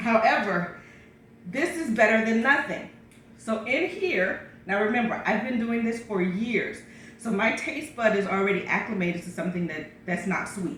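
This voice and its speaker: With lively intonation and a fairly high pitch, a woman speaks through audible room echo and noticeable background noise. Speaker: pastor sharing health routine. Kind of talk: casual vlog talk. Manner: fast; hesitant with fillers.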